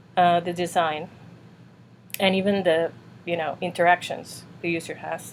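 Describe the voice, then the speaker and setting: A woman with a slight non-native accent, at a moderate pace. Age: 40s. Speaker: UX designer and reviewer. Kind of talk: casual tutorial review. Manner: casual with many fillers.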